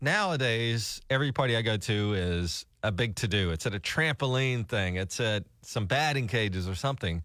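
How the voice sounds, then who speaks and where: This man has a Southern US accent and a medium pitch, with very even loudness and hardly any pauses. The recording is very clean, with a silent background. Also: lively intonation, moderate pace. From Alabama. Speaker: radio morning show host. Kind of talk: casual chat. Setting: radio studio.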